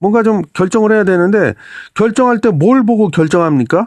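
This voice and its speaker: A man's animated voice at a moderate pace, dry and close with no echo, against a quiet background. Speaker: finance commentator. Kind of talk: casual monologue commentary. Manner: animated, conversational.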